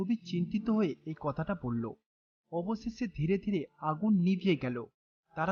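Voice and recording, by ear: Lively intonation marks this woman's fairly low voice, which has a slightly husky edge.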